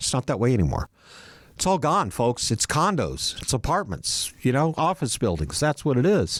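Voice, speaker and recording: Recorded very cleanly against a silent background, a man speaks at a moderate pace with very even loudness and a dry, close sound with no echo. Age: 60s. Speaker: podcast host. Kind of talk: casual chat. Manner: rambling, conversational.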